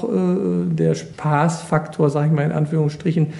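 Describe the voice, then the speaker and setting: The speaker talks at a moderate pace over noticeable background noise. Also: man. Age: 50s. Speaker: water police officer. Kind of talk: interview.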